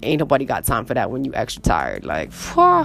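A woman speaks at a fairly quick pace. Music plays in the background. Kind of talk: casual monologue.

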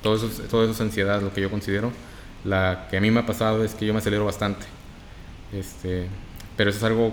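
In a northern Mexican accent, a man speaks at a very fast pace with a fairly low pitch and flat, monotone intonation, broken by long, frequent pauses. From Mexico, Reynosa, Tamaulipas. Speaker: podcast guest. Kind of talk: casual chat.

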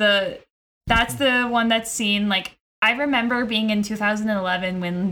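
A woman speaks at a moderate pace with a fairly high pitch and a bright, sharp tone. Her intonation is fairly even and her loudness very even. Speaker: podcast host. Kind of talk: casual chat.

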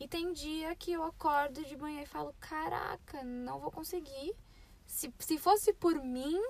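A woman speaks in a high pitch with lively intonation. Her pace is fairly slow. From Brazil, São Paulo. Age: 20s. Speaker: podcast co-host, au pair. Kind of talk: casual chat. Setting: in a parked car.

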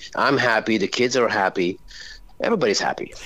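A man talks at a very fast pace. There is vocal fry in his voice. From France. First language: French. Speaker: rock singer. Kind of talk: interview.

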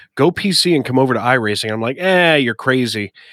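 A man with an American accent speaks in a normal speaking voice at a fairly quick pace, with ordinary pitch variation. The recording is very clean, with a silent background and a dry, close sound with no echo. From US Northeast. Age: 30s. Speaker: podcast host and sim racing commentator. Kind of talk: casual chat.

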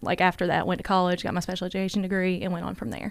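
The intonation is monotone and flat, in a very clean recording with a silent background. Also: woman. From Kentucky. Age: 20s. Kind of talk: interview.

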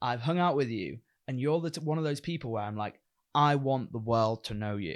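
Over a quiet background, a man with a plain, everyday voice talks at a fairly quick pace and medium pitch, his intonation lively. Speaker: podcast host. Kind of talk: casual chat. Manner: joking, casual.

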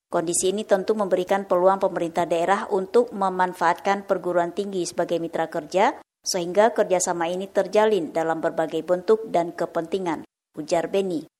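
A woman speaks in a plain, everyday voice at a fairly quick pace with hardly any pauses. Her pitch is medium and her intonation fairly even. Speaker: radio reporter. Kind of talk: news report.

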